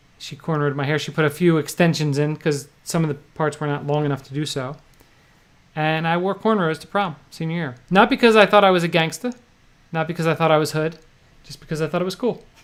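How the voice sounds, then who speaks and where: Delivered at a very fast pace in a New Jersey accent, the speech shows big swings in loudness. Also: man, fairly high pitch for a man, ordinary pitch variation. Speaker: poker vlogger and livestream host. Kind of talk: casual chat. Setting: livestream.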